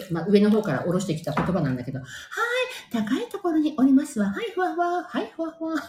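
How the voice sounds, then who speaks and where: A woman's fairly high voice at a very fast pace, with very wide pitch swings and noticeable background noise. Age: 50s. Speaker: podcaster. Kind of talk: casual monologue. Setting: in the bath. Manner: animated.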